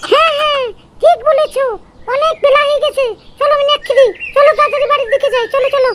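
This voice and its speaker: This put-on character voice is squeaky and extremely high in pitch. It moves at a fairly quick pace. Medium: cartoon.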